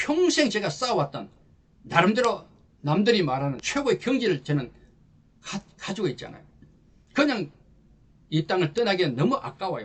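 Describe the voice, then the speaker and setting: The man's pitch is high, with very wide swings. He keeps a moderate pace and leaves long, frequent pauses. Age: 60s. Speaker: lecturer for army officers. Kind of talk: promotional lecture. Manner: animated.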